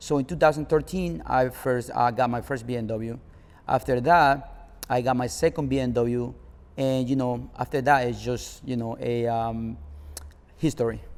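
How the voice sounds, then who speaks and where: A man with a Spanish accent, moderate pace and ordinary pitch variation. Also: medium pitch for a man. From Nicaragua. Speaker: car club founder. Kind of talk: interview.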